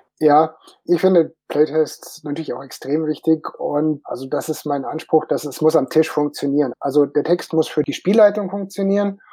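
Fairly high for a man, his voice has a dark, mellow tone, ordinary pitch variation, and a moderate pace. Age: 50s. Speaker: tabletop game designer. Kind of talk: panel discussion.

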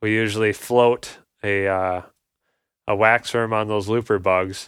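A man speaks in a flat monotone at a fairly low pitch, recorded very cleanly against a silent background. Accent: Upper Midwest. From Minnesota, north Twin Cities suburbs. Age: 30s. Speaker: angler. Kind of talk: casual chat.

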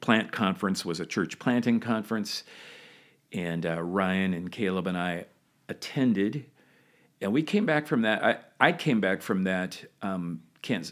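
On a very clean recording with a silent background, a man speaks at a fairly low pitch and moderate pace with ordinary pitch variation. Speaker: founding senior pastor. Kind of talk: interview.

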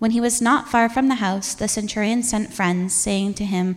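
This woman has an unremarkable speaking voice at a medium pitch. She talks at a moderate pace with fairly even intonation. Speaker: church reader. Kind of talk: scripture reading. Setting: church.

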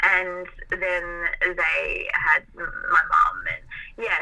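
A woman speaks with an Australian accent. Noticeable background noise runs underneath. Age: 20s. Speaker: graphic designer. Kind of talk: casual interview. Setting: remote call.

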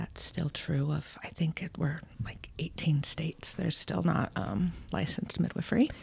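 Over noticeable background noise, a woman whispers at a medium speed. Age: 40s. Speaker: midwife. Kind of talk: casual chat.

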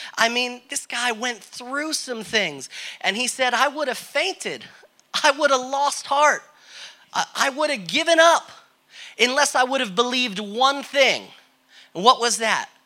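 In an American accent, a man projects a raised voice at an extremely high pitch, with a bright, sharp tone and ordinary pitch variation. He talks at a fairly slow pace with long, frequent pauses. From Connecticut, US Northeast. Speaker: guest preacher. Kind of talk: sermon.

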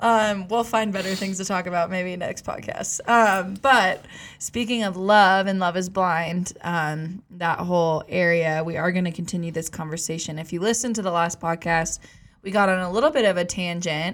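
Her pitch sits at a medium level for a woman, with ordinary variation. She has an ordinary speaking voice and keeps a moderate pace. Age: 20s. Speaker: podcast host. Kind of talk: casual chat. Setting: studio.

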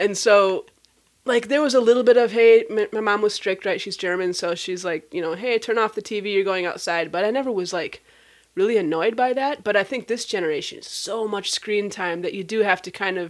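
An unremarkable speaking voice from a woman with an American accent, medium pitch, ordinary pitch variation and a fairly quick pace, on a very clean recording with a silent background. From Minnesota, US Midwest. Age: 40s. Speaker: podcast host, nonprofit founder. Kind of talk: casual interview chat.

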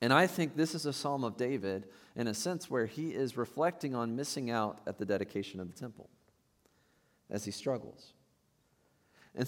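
In a very clean recording with a silent background, a man with a normal speaking voice talks at a fairly quick pace and medium pitch, his intonation lively. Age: 30s. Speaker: pastor. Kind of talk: sermon. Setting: church.

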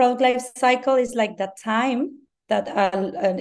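A woman speaks with a Mexican accent. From Mexico. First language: Spanish. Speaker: branding consultant. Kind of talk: interview. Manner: halting, many fillers.

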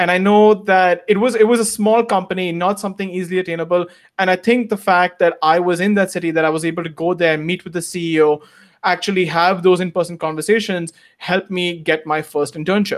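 Here a man speaks at high pitch and a very fast pace with fairly even intonation. The recording is very clean, with a silent background. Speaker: former international student, works in investment immigration. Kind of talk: interview.

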